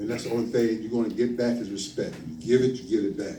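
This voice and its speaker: A man's medium-pitched voice with a dark, mellow tone, ordinary pitch variation, a fairly quick pace and audible room echo. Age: 60s. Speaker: lay minister. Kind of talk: sermon. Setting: church. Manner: halting.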